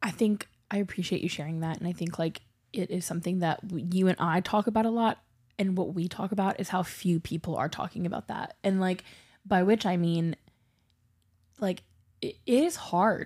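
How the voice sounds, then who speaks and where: The speaker has an American accent and a somewhat breathy voice, with ordinary pitch variation at a moderate pace. Long, frequent pauses break up the speech on a very clean recording with a silent background. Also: woman, medium pitch for a woman. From US South. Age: 30s. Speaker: podcast co-host. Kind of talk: casual chat.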